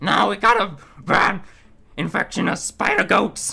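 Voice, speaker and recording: A put-on character voice at middle pitch moves at a moderate pace. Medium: actual play. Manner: terse, blunt.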